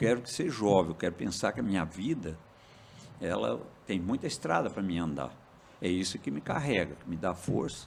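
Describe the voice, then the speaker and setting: Lively intonation marks this man's very deep, low voice as he talks at a moderate pace. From Minas Gerais, Brazil. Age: 70s. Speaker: farmer and cooperative president. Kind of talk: podcast interview.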